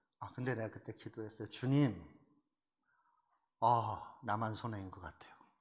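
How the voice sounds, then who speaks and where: A man of medium pitch speaks at a moderate pace with long, frequent pauses, a somewhat breathy sound and big swings in loudness. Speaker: pastor. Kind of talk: sermon. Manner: rough, forceful; animated.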